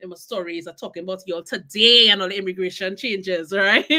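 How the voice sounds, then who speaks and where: Over noticeable background noise, a woman talks in an animated tone at a fairly quick pace. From Trinidad and Tobago. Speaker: podcast host. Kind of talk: live stream interview.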